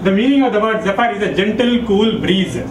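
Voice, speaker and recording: High male voice with ordinary pitch variation at a moderate pace, audible room echo and noticeable background noise. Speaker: memory trainer. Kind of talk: workshop lecture.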